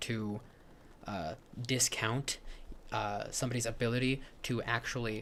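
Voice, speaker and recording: At a medium pitch, a man is talking. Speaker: YouTube commentary streamer. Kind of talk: live stream reaction commentary. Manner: halting, stutters often.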